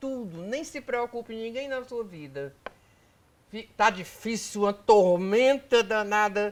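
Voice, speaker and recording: A woman speaking at a very slow pace. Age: 80s+. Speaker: pulmonologist. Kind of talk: interview.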